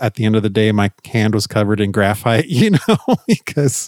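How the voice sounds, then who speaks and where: The recording is very clean with a silent background and a dry, close sound with no echo. A man speaks at a moderate pace with a normal speaking voice at a medium pitch. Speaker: podcast host. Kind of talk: casual chat.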